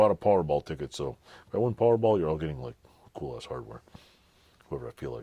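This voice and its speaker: The man's voice sits very deep and low. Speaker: DIY garage tinkerer and YouTuber. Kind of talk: casual product review. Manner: casual, rambling.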